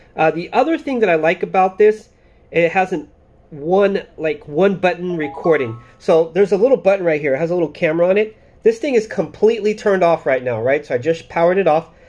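Over music in the background, a man talks at a very fast pace in a high pitch with lively intonation. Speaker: product reviewer. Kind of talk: casual vlog chat. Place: home room. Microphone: phone near.

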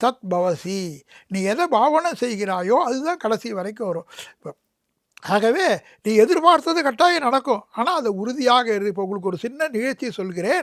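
A man speaks at an extremely high pitch, his voice swinging very widely up and down. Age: 70s. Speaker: religious orator. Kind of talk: interview.

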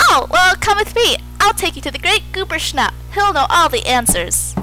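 A woman does a cartoonish character voice at a moderate pace, with clear background noise behind her. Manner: friendly, welcoming.

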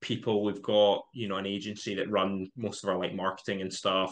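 A man with a fairly low pitch and an ordinary speaking voice talks at a moderate pace. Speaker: podcast guest. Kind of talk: interview answer. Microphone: video call.

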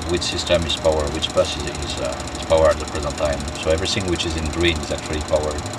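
The sound is dry with no echo. Loud background noise is present. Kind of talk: tutorial. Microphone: phone near.

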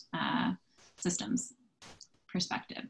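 A woman's fairly low, somewhat breathy voice at a moderate pace. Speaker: sustainability consultant; presenter. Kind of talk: virtual committee meeting presentation. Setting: video call. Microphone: video call.

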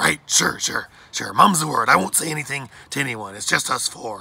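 In a put-on character voice, a man at a medium pitch delivers lively intonation with a bright, sharp tone, a slightly husky edge and vocal fry. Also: moderate pace.

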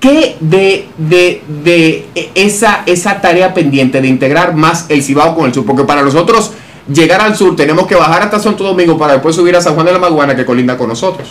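At a fairly quick pace, a man talks in a high-pitched voice. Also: ordinary pitch variation. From Dominican Republic. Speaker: interviewer and analyst. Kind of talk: interview. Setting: office. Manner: formal. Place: studio. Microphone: studio mic.

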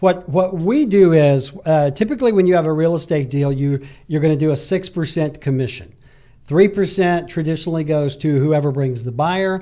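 Over a quiet background, a man with an Alabama accent speaks at a moderate pace and fairly high pitch, in a dark, mellow tone with ordinary pitch variation. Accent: Southern US (Alabama). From Alabama, US South. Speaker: real estate agent and entrepreneur; guest. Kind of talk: casual interview chat. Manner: frequent hesitations. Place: studio. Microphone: studio mic.

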